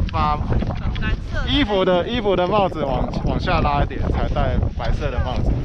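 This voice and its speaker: There's loud background noise all around this man's speech. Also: dry sound with no echo. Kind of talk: casual instruction to a child. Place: open country.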